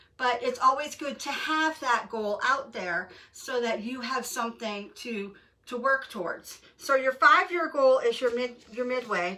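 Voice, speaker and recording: Over noticeable background noise, a woman speaks at a high pitch and a fairly slow pace with lively intonation. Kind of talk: casual tutorial talk to camera. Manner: hesitant with fillers.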